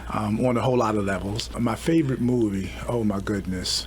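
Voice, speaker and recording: With an American accent and a fairly low pitch, a man speaks at a moderate pace amid audible room echo and noticeable background noise. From Baltimore, Maryland. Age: 60s. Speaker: police chief. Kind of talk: radio interview. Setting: studio.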